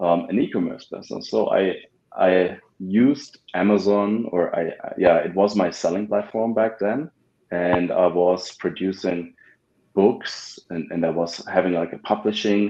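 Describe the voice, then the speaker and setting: In a German accent, a man speaks at a fairly slow pace. His pitch is fairly low, with ordinary pitch variation. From Germany. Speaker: ad agency founder. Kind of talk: podcast interview. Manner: halting, many fillers and repeats.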